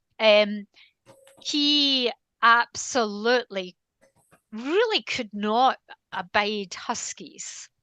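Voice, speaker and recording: Speaking at a very slow pace with long, frequent pauses, a woman with a Scottish accent has a fairly high pitch, a bright, sharp tone and ordinary pitch variation. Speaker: canine behaviourist. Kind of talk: interview conversation.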